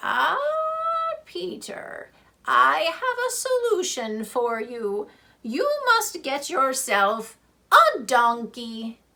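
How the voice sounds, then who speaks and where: A woman's put-on character voice, high in pitch, at a very slow pace. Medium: read story. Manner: assured, sagely.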